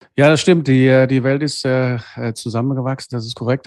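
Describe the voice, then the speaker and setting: Monotone, flat delivery from a man at medium pitch. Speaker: dental technician and business owner. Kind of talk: interview. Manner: halting, many fillers.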